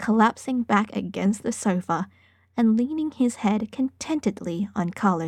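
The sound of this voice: Reading is done in an unforced voice.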